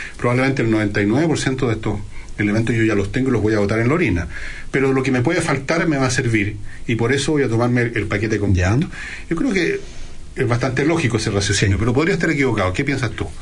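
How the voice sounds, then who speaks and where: A man speaks very fast at a medium pitch, with lively intonation and very even loudness. Noticeable background noise and audible room echo are present. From Chile, Valparaíso region. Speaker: radio host. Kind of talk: casual chat; radio monologue.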